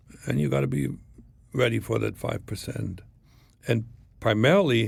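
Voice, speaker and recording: A man with a slight German accent speaks at a moderate pace. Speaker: former spy. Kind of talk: interview storytelling.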